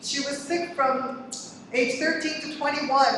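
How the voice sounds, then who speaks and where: A woman speaks at a high pitch amid strong room echo. Light background noise can be heard. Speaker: community activist; speaker. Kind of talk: testimony. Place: hall.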